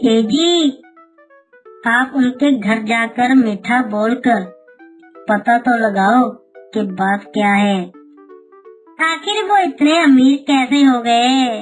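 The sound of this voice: A woman uses a high-pitched, cartoonish character voice at a very slow pace. Faint music plays in the background.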